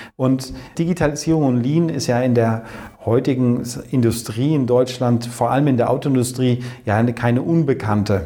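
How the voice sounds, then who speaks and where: A man talks at a moderate pace in a medium pitch. He has a plain, everyday voice with fairly even intonation. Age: 40s. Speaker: company managing director. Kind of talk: interview.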